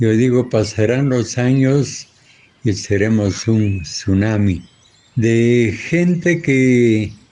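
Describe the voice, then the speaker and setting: A man's medium-pitched voice with ordinary pitch variation over noticeable background noise. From Ecuador. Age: 80s+. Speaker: farmer. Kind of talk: interview.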